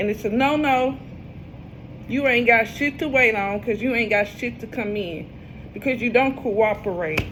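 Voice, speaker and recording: Her tone is animated, and her pitch is fairly high for a woman. She keeps a moderate pace with ordinary pitch variation. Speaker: tarot reader. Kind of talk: casual tarot reading monologue.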